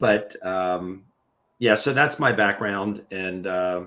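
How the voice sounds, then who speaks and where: With an American accent, a man speaks at a very slow pace and a very deep, low pitch with fairly even intonation, on a very clean recording with a silent background. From Maryland, US. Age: 60s. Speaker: retired foot surgeon. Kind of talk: interview. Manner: halting.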